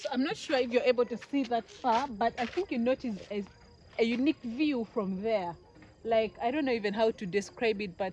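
At a fairly quick pace, a woman speaks with ordinary pitch variation, the sound dry with no echo and light background noise. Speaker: travel vlogger. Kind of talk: casual vlog chat. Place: open country. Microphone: phone near.

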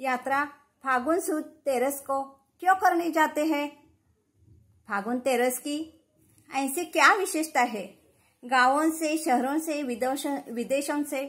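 At a very slow pace, a woman speaks with long, frequent pauses. Her pitch is high with ordinary variation, over a quiet background. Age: 50s. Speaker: talent contest participant. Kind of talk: religious storytelling; storytelling talk to camera. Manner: halting. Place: home room. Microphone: phone near.

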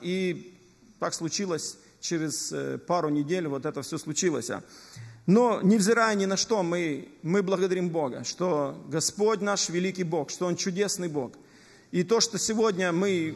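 Music plays behind a man who speaks fairly slowly at a high pitch with ordinary pitch variation. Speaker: preacher. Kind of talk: sermon testimony. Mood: earnest, somber story. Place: church. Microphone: podium.

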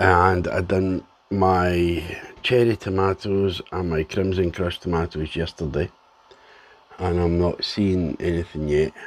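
A man with a Scottish accent speaks at a fairly slow pace. His very deep, low voice stays monotone and flat. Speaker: home gardener vlogger. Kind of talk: casual video diary. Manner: halting, with ums.

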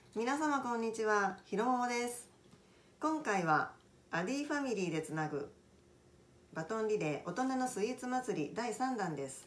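At a moderate pace, a woman's voice swings very widely in pitch. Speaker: cooking channel host. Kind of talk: casual vlog intro. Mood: friendly, smiling. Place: home room. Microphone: phone near.

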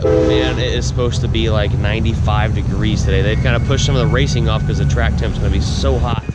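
A man at a fairly quick pace, dry sound with no echo, and loud background noise. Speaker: vlogger. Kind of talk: casual vlog chat. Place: open country. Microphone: phone near.

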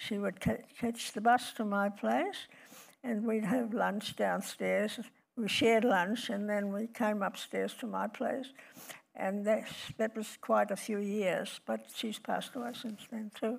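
A woman speaks very slowly in a fairly high pitch with fairly even intonation against a quiet background. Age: 80s+. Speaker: retiree interviewed about ageing; guest. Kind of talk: onstage interview. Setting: stage with audience. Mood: warm, reflective. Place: stage.

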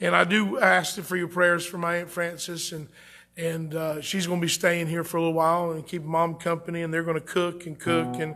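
High-pitched and monotone, a man speaks with flat intonation at a fairly quick pace. Faint music plays in the background. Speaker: pastor. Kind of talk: sermon and prayer. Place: church.

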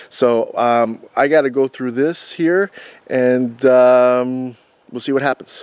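Speech comes at a very slow pace with fairly even intonation. The sound is dry with no echo, over light background noise. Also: man. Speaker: urban explorer vlogger. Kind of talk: casual vlog chat. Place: forest. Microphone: phone near.

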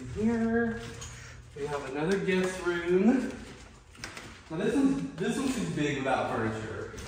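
At a fairly slow pace, a man speaks with a high pitch in strong room echo and light background noise. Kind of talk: casual vlog chat. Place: home room.

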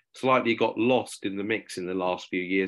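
A man speaks with fairly even intonation and a moderate pace over a quiet background. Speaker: webinar presenter. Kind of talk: presentation talk. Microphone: video call.

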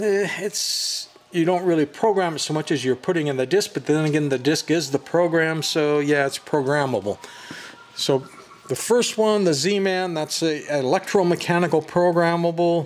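The man's voice has a high pitch and ordinary pitch variation. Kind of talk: casual explanatory commentary. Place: shop. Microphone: phone near.

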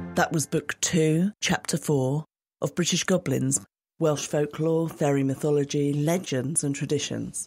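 A woman speaks with a very deep, low pitch, very even loudness and fairly even intonation. The recording is very clean, silent in the background, with a dry, close sound and no echo. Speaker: co-host reader. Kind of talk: scripted podcast intro and outro.

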